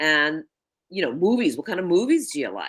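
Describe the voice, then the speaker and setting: A woman speaks with a New York accent at a moderate pace. Her medium pitch moves in very wide swings. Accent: New York, East Coast. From New York City, the Bronx. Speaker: networking coach. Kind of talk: interview chat.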